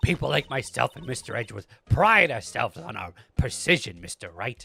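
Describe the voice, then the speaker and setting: Doing a put-on character voice, a man talks at a fairly quick pace with very wide pitch swings and big shifts in loudness, in a dry, close sound with no echo. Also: medium pitch for a man. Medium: game stream. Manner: clipped, imperious.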